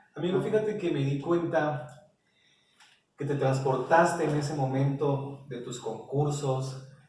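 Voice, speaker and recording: Fairly slow speech from a man with a fairly high voice and audible room echo. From Mexico, Oaxaca (Isthmus). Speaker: interviewer. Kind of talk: interview.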